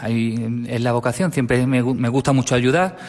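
The speaker is a man with a medium pitch. He keeps a moderate pace and ordinary pitch variation. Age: 30s. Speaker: parish sacristan. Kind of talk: radio interview. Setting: radio studio. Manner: halting, repeats words.

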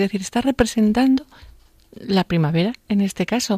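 In a Spanish accent, the dark, mellow voice moves with ordinary pitch variation. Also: woman, dry, close sound with no echo. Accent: Spanish (Spain). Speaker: radio host. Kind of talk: radio show. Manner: animated.

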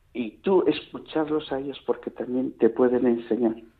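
An unremarkable speaking voice with ordinary pitch variation, fairly slow in pace. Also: man. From Castile, Palencia province. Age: 60s. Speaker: retired blind teacher, volunteer. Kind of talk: radio interview.

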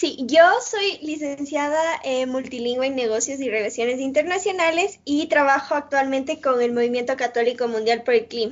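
A woman at a high pitch and moderate pace, with ordinary pitch variation and hardly any pauses. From Ecuador. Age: 20s. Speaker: youth climate movement coordinator. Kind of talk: interview.

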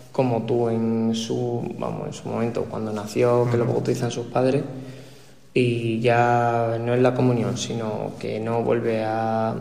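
A man's monotone, flat speech at medium pitch, with audible room echo. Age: 20s. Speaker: university student. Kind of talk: radio panel discussion.

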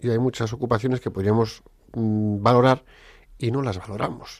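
A man at medium pitch and a fairly slow pace, on a very clean recording with a silent background. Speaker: radio host. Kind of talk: radio talk show. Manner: animated.

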